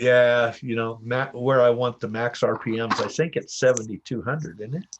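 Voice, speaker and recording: Speaking at a moderate pace, a man uses a plain, everyday voice of medium pitch with fairly even intonation. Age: 60s. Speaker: dirt bike and paramotor hobbyist streamer. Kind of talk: casual chat. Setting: garage livestream.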